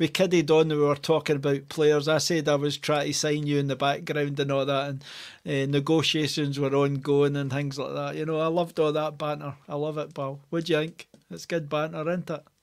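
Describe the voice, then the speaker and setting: A man talks at a fairly quick pace. His intonation is monotone and flat, with a quiet background. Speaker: fan podcast host. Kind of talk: casual podcast banter. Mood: jovial, laughing. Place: home room. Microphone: headset.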